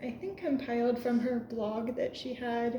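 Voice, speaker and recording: A woman speaks at a high pitch and a fairly slow pace. Noticeable background noise and audible room echo are present. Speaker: channel owner reading books aloud. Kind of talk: casual chat. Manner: soft-spoken.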